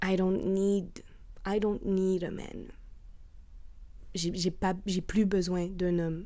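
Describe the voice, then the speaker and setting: A woman with a medium pitch speaks at a very slow pace in a dark, mellow tone, leaving long, frequent pauses amid audible room echo. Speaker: podcaster. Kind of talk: casual monologue. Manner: loud; animated.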